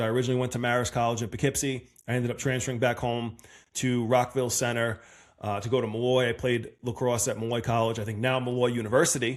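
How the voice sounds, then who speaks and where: Talking at a very fast pace, a man uses a medium pitch with a Long Island accent. The recording is very clean, with a silent background. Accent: Long Island New York. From Long Island, New York (Massapequa Park). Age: 30s. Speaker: podcast host. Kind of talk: casual monologue. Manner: animated.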